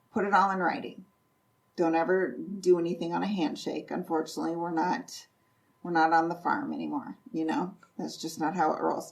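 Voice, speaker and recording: In an Upper Midwest accent, a woman speaks at a fairly quick pace with a fairly low pitch. Her intonation is lively, and there is vocal fry. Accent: Upper Midwest American. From North Central Iowa. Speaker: real estate investor and property manager. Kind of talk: podcast interview answer.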